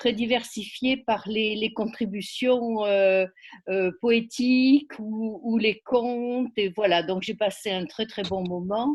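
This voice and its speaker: A woman speaks very slowly with a fairly high pitch and fairly even intonation. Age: 70s. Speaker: poetry event participant. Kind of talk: casual group discussion. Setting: video call. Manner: hesitant, many fillers.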